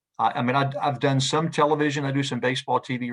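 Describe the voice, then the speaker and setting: A man with a Southern US accent, fairly even intonation and a fairly quick pace. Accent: Southern American. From US South, Knoxville, Tennessee. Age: 60s. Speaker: sports play-by-play radio announcer. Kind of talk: interview conversation. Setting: video call. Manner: halting, many repeated words.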